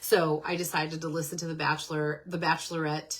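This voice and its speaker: A woman with a very deep, low pitch speaks in a monotone, flat intonation over noticeable background noise. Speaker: podcast host. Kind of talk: casual monologue. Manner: casual, chatty.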